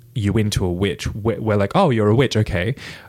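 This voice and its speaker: With an American accent, a man speaks at a fairly low pitch and a moderate pace. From Toowoomba, Queensland, Australia. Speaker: witch / practitioner of witchcraft. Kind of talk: casual chat, conversational interview. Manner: laughs often, giggly.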